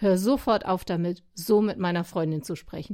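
Her tone is dark and mellow. The woman speaks with ordinary pitch variation. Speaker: radio devotional columnist. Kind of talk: scripted personal monologue.

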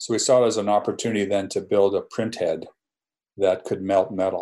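A man is speaking. He has a Canadian accent. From Canada. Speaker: medical physicist and entrepreneur. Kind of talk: interview. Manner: halting, with fillers and repetitions.

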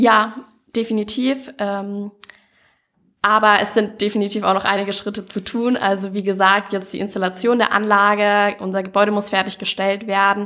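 Bright, sharp tone in a monotone, flat intonation. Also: woman, medium pitch for a woman, moderate pace. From Allgäu, Bavaria (Kaufbeuren). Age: 20s. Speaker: student, startup project lead. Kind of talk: interview. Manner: many filler sounds (ähm).

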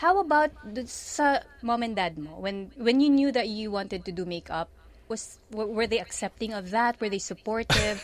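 Fairly high in pitch, this woman has a plain, everyday voice. She speaks at a moderate pace with lively intonation. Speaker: radio host. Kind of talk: radio interview in Taglish. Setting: studio.

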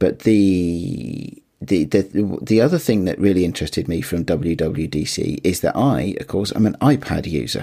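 A man with a very deep, low pitch and a dark, mellow tone speaks at a fairly slow pace, his intonation lively and touched with vocal fry. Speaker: podcast co-host. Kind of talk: casual chat.

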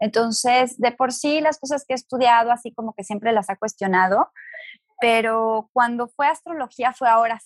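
An ordinary speaking voice from a woman, fairly high in pitch, with ordinary pitch variation at a moderate pace. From Mexico, Guadalajara. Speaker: astrologer and spiritual teacher. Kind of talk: interview conversation.

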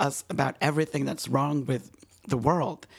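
A man talks at a moderate pace and a fairly high pitch. His voice has vocal fry and ordinary pitch variation. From Honduras. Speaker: theater blogger. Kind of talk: casual chat.

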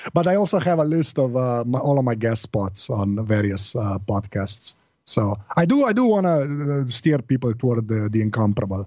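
A man speaks with lively intonation in a Slovene accent. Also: medium pitch for a man, moderate pace. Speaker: podcaster. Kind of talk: casual chat. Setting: remote call.

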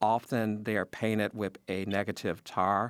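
In an ordinary speaking voice, a man with an American accent speaks fairly slowly at a fairly low pitch, with a dry, close sound with no echo. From Chicago. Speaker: journalist. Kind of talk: radio interview.

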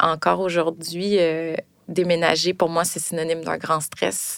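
This woman speaks in a Quebec accent at a fairly low pitch. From Quebec (Longueuil, Montreal area). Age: 30s. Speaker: storyteller sharing a personal story. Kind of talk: personal testimony.

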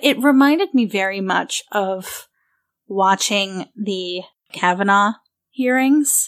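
A woman in a plain, everyday voice at a medium pitch and fairly slow pace, in a very clean recording with a silent background. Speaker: podcast co-host. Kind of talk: casual chat.

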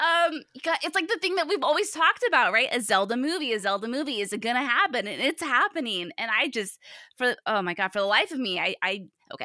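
Very fast and animated, a woman talks at a high pitch in a bright, sharp tone, her pitch swinging very widely. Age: 30s. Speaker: games podcaster guest. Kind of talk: casual interview chat. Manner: animated, jokey.

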